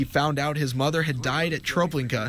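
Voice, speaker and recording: Ordinary pitch variation and a moderate pace mark an unremarkable speaking voice. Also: man. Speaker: TV news reporter. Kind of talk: TV news report narration.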